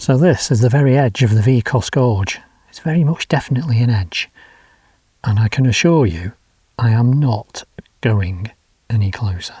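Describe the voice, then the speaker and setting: Here a man speaks with an English accent at medium pitch and a moderate pace. His intonation is lively, and he leaves long, frequent pauses. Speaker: motorcycle travel vlogger. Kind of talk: travel vlog to camera. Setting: outdoors. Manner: casual, chatty with fillers; quiet.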